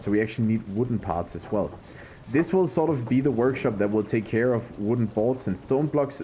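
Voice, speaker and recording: The speaker has a non-native accent and a moderate pace. The intonation is lively. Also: man. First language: not English. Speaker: gaming YouTuber. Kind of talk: let's play commentary. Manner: casual, thinking aloud.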